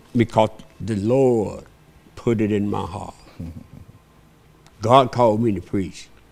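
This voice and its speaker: In a Southern US accent, a man speaks at a very slow pace and fairly low pitch, with fairly even intonation and long, frequent pauses. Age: 80s+. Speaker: pastor. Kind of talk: interview.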